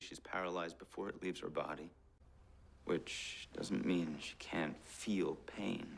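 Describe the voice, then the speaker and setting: Very deep and low, this man's voice carries ordinary pitch variation and vocal fry. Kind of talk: edited compilation of a TV drama character's dialogue, soft-spoken. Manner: soft-spoken, whispery.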